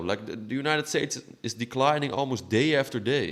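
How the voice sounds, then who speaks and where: Lively intonation in a non-native accent at a fairly quick pace. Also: man. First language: not English. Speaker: political commentator. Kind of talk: opinion monologue. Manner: halting, repeating words.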